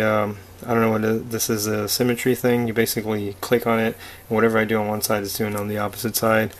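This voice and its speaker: Monotone, flat intonation from a man at a fairly quick pace, with noticeable background noise. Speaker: artist reviewing a drawing tablet. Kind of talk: product review tutorial. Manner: hesitant, many fillers.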